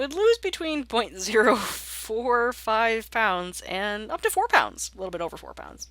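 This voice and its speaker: A woman's bright, sharp tone at a moderate pace. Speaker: statistics teacher. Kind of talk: recorded lecture walkthrough. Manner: casual, chatty.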